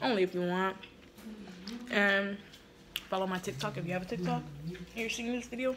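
A woman speaks over noticeable background noise. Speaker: vlogger. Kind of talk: casual vlog chat. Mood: annoyed, disappointed. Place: home room. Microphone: phone near.

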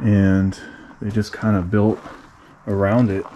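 Noticeable background noise fills the recording. A man talks over it. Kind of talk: casual exploration commentary. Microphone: phone near.

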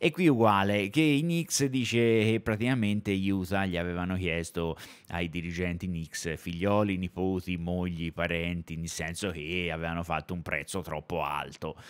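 A man talks at a moderate pace with a very deep, low pitch. His pitch variation is ordinary, and the recording is very clean with a silent background. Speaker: basketball streamer. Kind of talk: casual chat. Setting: live stream. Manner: animated.

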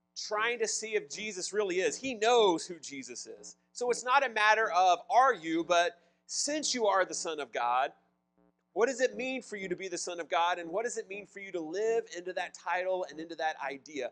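A man's voice at a moderate pace, with big swings in loudness. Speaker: pastor. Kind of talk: sermon. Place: church.

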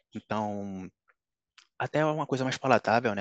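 Fairly low-pitched male voice, a dry sound with no echo, over a quiet background. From Brazil, Pernambuco (Recife); Pernambuco, Brazil. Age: 30s. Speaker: top-ranked civil service exam candidate, economist; candidate. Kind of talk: interview. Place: home room. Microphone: headset.

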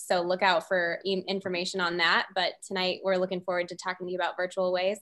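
A woman with an American accent against a quiet background. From Southern California. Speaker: medical student, student council president; student council president. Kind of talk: webinar panel discussion. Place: home room. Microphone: webcam.

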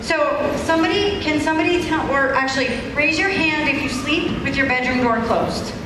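Fairly quick speech comes from a woman. Audible room echo and noticeable background noise are both present. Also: ordinary pitch variation. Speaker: fire safety educator. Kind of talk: presentation to children. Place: hall. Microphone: handheld.

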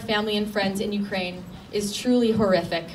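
A woman's moderately paced speech comes with noticeable background noise. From Canada, Ukrainian community. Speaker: teacher and rally speaker. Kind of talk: rally speech. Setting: outdoor rally with crowd, city hall. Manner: animated, loud, call-and-response with the crowd. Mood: earnest, solemn. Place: street. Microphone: podium.

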